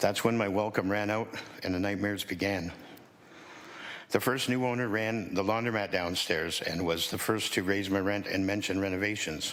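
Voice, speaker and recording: Against audible room echo, a man speaks at a moderate pace in a fairly low pitch with fairly even intonation. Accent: Canadian. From Hamilton, Ontario, Canada. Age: 60s. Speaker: tenant activist. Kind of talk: prepared testimony. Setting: city council committee meeting. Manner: formal.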